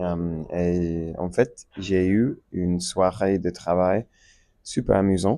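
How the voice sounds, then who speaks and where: Speaking with an English accent at a very slow pace, a man with a very deep, low voice is heard against a quiet background. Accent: English-speaking learner of French. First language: English (speaking French). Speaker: French learner vlogger. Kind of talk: casual monologue. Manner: halting, many fillers.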